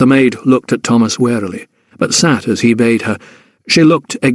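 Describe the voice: Plain reading aloud with fairly even intonation. The background is quiet.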